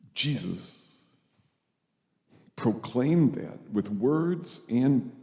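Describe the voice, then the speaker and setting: Dark, mellow male voice with audible room echo. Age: 70s. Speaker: priest. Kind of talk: sermon.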